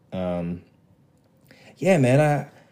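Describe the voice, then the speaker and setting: A man at a medium pitch speaks with lively intonation. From Zambia and London, raised in US from age eight. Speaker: youth pastor and track athlete. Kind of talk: casual chat.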